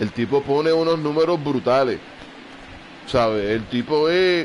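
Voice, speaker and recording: A man speaks with a Puerto Rican accent at a very slow pace. His pitch is fairly high, with ordinary variation. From Puerto Rico. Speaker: gamer. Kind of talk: live gameplay commentary. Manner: casual.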